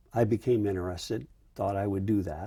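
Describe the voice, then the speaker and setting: A man's fairly low, somewhat breathy voice with a dark, mellow tone and fairly even intonation. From US Midwest, rural Iowa. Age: 70s. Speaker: retired army general, Vietnam veteran. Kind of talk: oral history interview. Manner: hesitant, many fillers.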